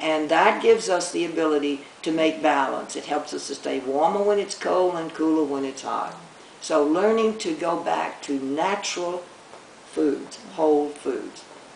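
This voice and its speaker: Amid noticeable background noise and audible room echo, a woman speaks in a very deep, low voice. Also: ordinary pitch variation, moderate pace. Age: 80s+. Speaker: retired doctor. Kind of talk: interview.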